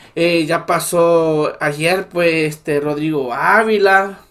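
Against a quiet background, a man with a high pitch sounds animated, with ordinary pitch variation. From El Salvador. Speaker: political commentary YouTuber. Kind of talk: political commentary monologue. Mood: indignant, critical.

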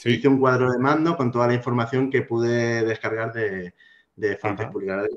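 This is a man speaking at a medium pitch. His pitch variation is ordinary. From Spain, Alicante; Spain. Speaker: IT specialist and blogger; podcast guest. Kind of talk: casual interview chat. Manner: halting, many fillers. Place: home room. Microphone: video call.

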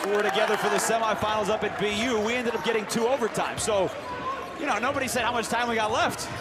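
A man talks at a fairly quick pace in a dry recording with no echo, with loud background noise behind him. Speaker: play-by-play announcer. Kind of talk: live sports commentary. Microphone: headset.

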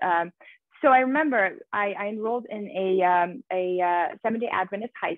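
A woman with a Persian accent is heard in a dry sound with no echo against a quiet background. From Iran. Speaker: journalist and author. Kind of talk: interview. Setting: video call. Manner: frequent repetitions and filler words. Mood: earnest, reflective. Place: home room. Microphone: earbuds.

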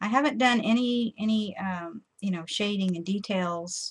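Pitch rises and falls in an ordinary way. The speed sits at a moderate level. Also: woman.

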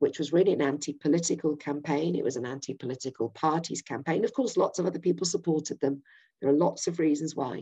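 Very fast speech from a woman in a Yorkshire accent, very deep and low in pitch, dark and mellow in tone, with ordinary pitch variation against a quiet background. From Yorkshire, England. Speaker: political campaigner. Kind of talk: political presentation. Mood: earnest, persuasive. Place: home room. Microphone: webcam.

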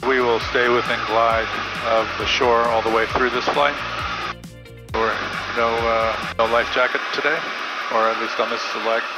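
Amid loud background music, a man talks at a moderate pace with long, frequent pauses in a dry sound with no echo. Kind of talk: casual vlog commentary. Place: plane. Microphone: headset.

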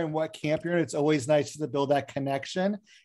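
Against a quiet background, a male voice is heard talking. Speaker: session host. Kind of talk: hosting welcome remarks. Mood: friendly, self-deprecating humor. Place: home room. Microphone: video call.

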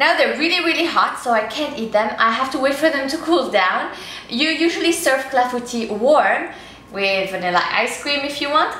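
A woman speaks at a high pitch and moderate pace, with light background noise and audible room echo. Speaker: cooking show host. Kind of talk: tutorial. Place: kitchen.

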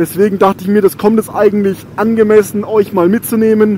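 Against noticeable background noise, a man speaks fairly quickly at a high pitch in a monotone, flat intonation. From Germany, Rhön region (Franconia). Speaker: motorcycle YouTuber. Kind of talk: motovlog while riding. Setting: on a motorcycle outdoors.

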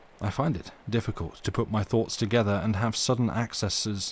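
This man talks at a fairly quick clip in a fairly low, somewhat breathy voice with ordinary pitch variation. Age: 40s. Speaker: streamer reading stories aloud. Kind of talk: casual chat; reading aloud. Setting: live stream.

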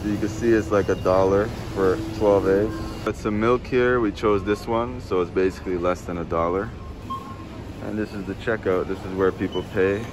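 A man speaks at a moderate pace with a low pitch and fairly even intonation. Background noise is clearly audible.

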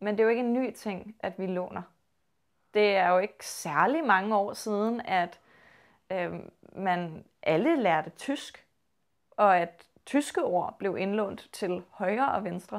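At a very slow pace, a woman speaks in a Copenhagen accent with ordinary pitch variation against a quiet background. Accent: low Copenhagen Danish. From Copenhagen, Denmark; Denmark. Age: 20s. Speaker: linguistics student. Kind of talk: interview. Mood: calm, thoughtful. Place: home room. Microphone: lapel.

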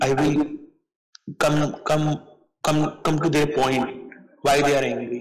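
In a quiet background, a man speaks with an Indian accent. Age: 50s. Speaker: English teacher. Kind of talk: online English lesson with a student. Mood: searching for words. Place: home room.

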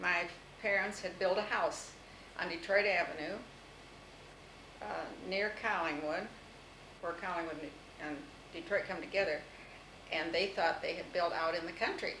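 A woman speaks at a fairly low pitch and moderate pace, with fairly even intonation. Long, frequent pauses break her speech, and there is noticeable background noise. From US Midwest, Toledo, Ohio; Ohio. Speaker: interviewee recalling her life; interviewee. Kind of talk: oral history interview. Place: home room. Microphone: old recording.

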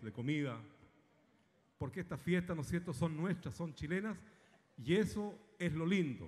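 Somewhat breathy, a man speaks at a moderate pace. His intonation is lively. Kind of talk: stage talk to the audience. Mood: warm, grateful. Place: stage. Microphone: handheld.

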